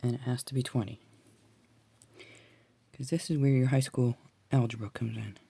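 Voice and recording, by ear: This woman's voice is extremely low in pitch, dark and mellow yet gravelly with a husky, rough edge and vocal fry, moving at a moderate pace with fairly even intonation.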